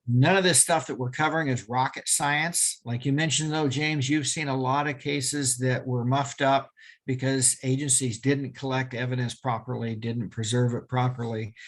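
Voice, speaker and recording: Showing an ordinary speaking voice, a man talks at medium pitch and a moderate pace with fairly even intonation and hardly any pauses. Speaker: crime scene evidence expert and police officer. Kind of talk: webinar lecture. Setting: video call webinar.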